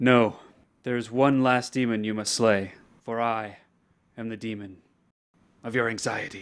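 A man in a put-on character voice speaks in a monotone, flat intonation with long, frequent pauses. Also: medium pitch for a man, moderate pace. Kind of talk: mock-epic solemn pronouncement. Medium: short film. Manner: grave, ceremonious, deadpan.

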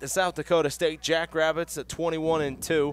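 A raised, projected voice carries over noticeable background noise. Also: man. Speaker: sports commentator. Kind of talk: live sports commentary. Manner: fast, excitable play-by-play, rising on goals; animated, laughing, delighted.

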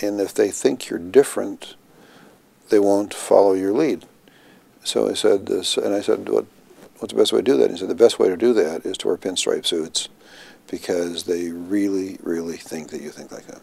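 Speaking at a moderate pace, a man shows big swings in loudness. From Minnesota, US Upper Midwest. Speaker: health care executive; interviewee. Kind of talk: oral history interview. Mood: relaxed, amused storytelling. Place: office.

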